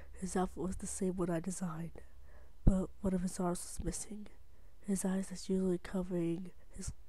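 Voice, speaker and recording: Someone is whispering. The pace is moderate. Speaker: creepypasta narrator. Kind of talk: reading aloud.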